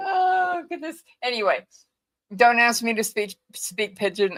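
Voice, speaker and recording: Talking at a fairly slow pace, a woman has a slight Hawaiian accent. Her pitch swings very widely. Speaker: co-host of true crime stream. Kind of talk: casual chat.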